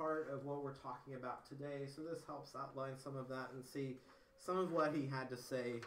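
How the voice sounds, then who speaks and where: Audible room echo and light background noise surround a voice speaking at a moderate pace. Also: man. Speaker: presenter. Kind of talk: lecture. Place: classroom. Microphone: camera far.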